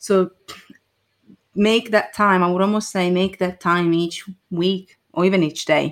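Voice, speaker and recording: Fairly slow speech in an Italian accent with fairly even intonation, on a very clean recording with a silent background. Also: woman. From Italy. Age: 20s. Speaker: marketing consultant. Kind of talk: casual chat.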